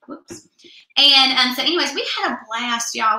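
Amid audible room echo, a woman with a fairly high pitch talks very fast, with ordinary pitch variation. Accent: American. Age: 20s. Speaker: beauty product consultant; beauty product consultant host. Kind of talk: live product demo. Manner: animated. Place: home room. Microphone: webcam.

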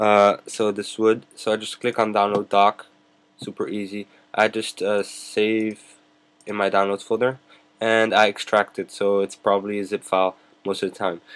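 Flat and monotone, a man talks at a fairly low pitch. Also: moderate pace. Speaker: YouTube tech tutorial maker. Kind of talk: screen-recorded tutorial. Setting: screen recording at a computer. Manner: casual, filler-heavy. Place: home room. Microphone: webcam.

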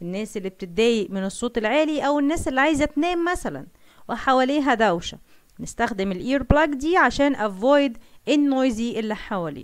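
Lively intonation marks this woman's high-pitched voice. She speaks at a moderate pace in an Egyptian accent. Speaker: science teacher. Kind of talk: lecture.

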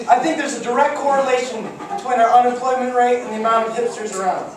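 A man's extremely high voice amid audible room echo and noticeable background noise. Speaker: amateur stand-up comedian. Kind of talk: first-time stand-up set at a comedy club, crude one-liners and pop-culture riffs. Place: stage.

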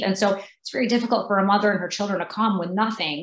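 A woman talks at a very fast pace in a somewhat breathy voice with ordinary pitch variation. Room echo is audible. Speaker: candidate. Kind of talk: interview answer. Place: home room. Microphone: video call.

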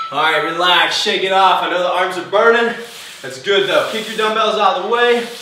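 In a room with audible echo and light background noise, a man projects a raised, high-pitched voice at a moderate pace. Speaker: fitness instructor. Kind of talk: guided home workout class, coaching through timed intervals. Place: gym.

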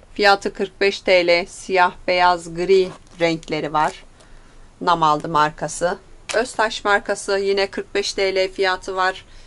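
The woman's delivery is very slow and her intonation fairly even. She speaks at a medium pitch. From Turkey. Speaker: shop owner presenting products. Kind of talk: product presentation. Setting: in a shop. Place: shop.

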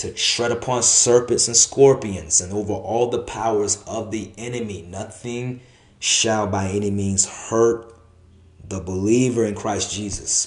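Somewhat breathy, a man speaks at a fairly low pitch and a fairly slow pace, his intonation fairly even. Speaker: preacher. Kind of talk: sermon. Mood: earnest, encouraging. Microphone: phone near.

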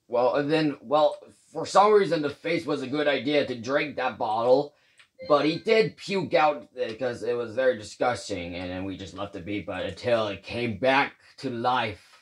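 A man puts on a character voice. It sits at a medium pitch. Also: moderate pace. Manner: resigned, gloomy.

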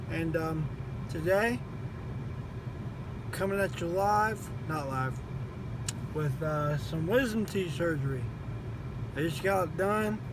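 A man mumbles at a very slow pace, the sound dry with no echo but with noticeable background noise. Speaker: vlogger. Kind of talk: casual vlog chat. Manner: groggy, slurred post-surgery mumble, mouth swollen. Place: car. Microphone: phone near.

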